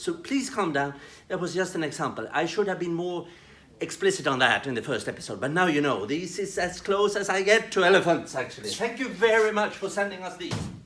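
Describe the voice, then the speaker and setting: In a Swedish accent, a man speaks with a high pitch. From Sweden. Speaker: development worker presenting training videos. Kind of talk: tutorial. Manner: halting, with repetitions.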